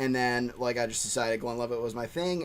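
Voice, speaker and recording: An ordinary speaking voice: a man at medium pitch with an American accent. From Pennsylvania, US. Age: 30s. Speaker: whiskey channel host. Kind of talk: casual chat.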